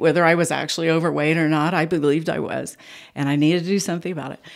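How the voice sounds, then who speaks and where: A woman with an American accent talks in a very deep, low pitch on a very clean recording with a silent background. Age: 70s. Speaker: podcast guest. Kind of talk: casual chat. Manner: animated.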